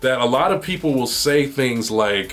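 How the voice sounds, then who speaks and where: Noticeable background noise sits under a man speaking at medium pitch and a moderate pace, with ordinary pitch variation. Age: 40s. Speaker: podcast host. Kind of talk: casual chat. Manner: animated; halting.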